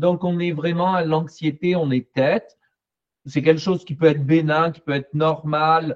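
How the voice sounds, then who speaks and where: A man talks at a fairly slow pace in a fairly high pitch, his intonation monotone and flat. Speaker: psychologist and therapy trainer. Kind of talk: panel discussion.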